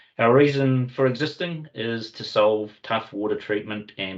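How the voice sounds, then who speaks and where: With a New Zealand accent and ordinary pitch variation, a man talks over a quiet background. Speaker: company representative hosting webinar. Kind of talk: webinar presentation. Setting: online video meeting. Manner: hesitant with fillers.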